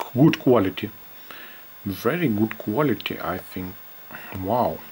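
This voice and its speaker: The speaker has a non-native accent and a fairly slow pace. Noticeable background noise is present. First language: not English. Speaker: vintage camera YouTuber. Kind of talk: product demo video. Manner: halting, repetitive; animated, excited exclamations.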